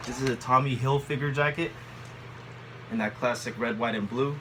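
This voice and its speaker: A man talks at a moderate pace with a medium pitch. Noticeable background noise runs underneath. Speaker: thrift haul vlogger. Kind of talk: casual haul video monologue. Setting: home, bedroom. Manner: halting, many fillers.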